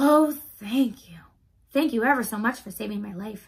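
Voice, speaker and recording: A squeaky, put-on character voice from a woman, fairly high in pitch and at a moderate pace. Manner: grateful.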